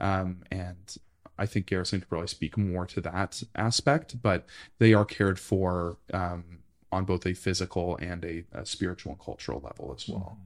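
In a Canadian accent, a man with a very deep, low pitch speaks at a moderate pace with ordinary pitch variation and big swings in loudness, on a very clean recording with a silent background. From Ottawa, Ontario, Canada. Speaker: archivist. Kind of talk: interview. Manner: halting, many fillers.

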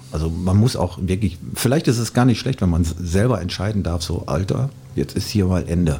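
With noticeable background noise behind him, a man with a very deep, low voice speaks at a moderate pace with lively intonation. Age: 50s. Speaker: DJ. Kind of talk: casual chat.

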